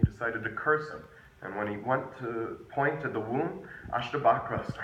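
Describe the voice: The speaker reads aloud in a plain way.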